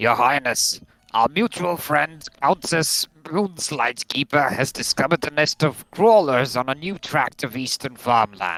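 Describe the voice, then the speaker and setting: In a put-on character voice, a man sounds gruff at a fairly high pitch, with lively intonation, a moderate pace and hardly any pauses, recorded dry and close with no echo. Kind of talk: comic game role-play. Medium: game stream.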